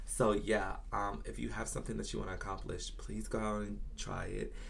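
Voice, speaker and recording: A man with an American accent speaks with audible room echo around him. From Virginia, US South. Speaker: beauty YouTuber. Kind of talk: casual storytime vlog. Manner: animated.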